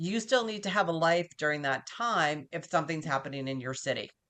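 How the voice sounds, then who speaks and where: Speaking at a very fast pace, a woman with an American accent has a fairly low pitch. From US Northeast (Massachusetts). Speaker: business continuity professional. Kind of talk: interview. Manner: fast talker.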